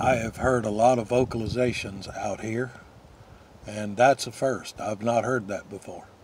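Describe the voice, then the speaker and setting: A man's medium-pitched, monotone, flat delivery, with big swings in loudness. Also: moderate pace. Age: 60s. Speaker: YouTuber filming outdoors. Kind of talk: casual vlog monologue. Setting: outdoors. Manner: halting with many filler uhs.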